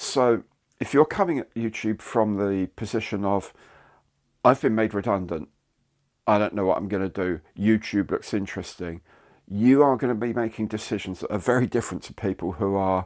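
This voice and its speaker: With a British accent, a man speaks at a moderate pace in a fairly low voice with ordinary pitch variation, on a very clean recording with a silent background. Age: 60s. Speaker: YouTuber. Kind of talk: casual monologue to camera. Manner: conversational, with hesitations.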